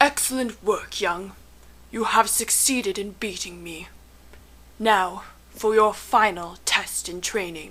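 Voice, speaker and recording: In a put-on character voice at a medium pitch, a woman speaks fairly slowly with long, frequent pauses. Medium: stage play. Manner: calm, cryptic.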